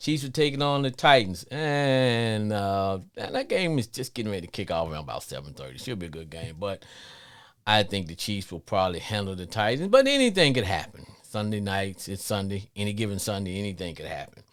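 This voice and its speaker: A man with a slight Louisiana accent talks at a fairly quick pace and a fairly low pitch. His intonation is lively, and his loudness swings widely. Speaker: sports podcast host. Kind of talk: live call-in show monologue. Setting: live stream.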